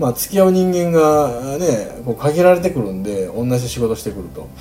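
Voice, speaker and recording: Over music in the background, a man with a Kansai accent talks fairly quickly at a fairly high pitch, his pitch swinging very widely. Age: 40s. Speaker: podcast host. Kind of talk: solo casual monologue.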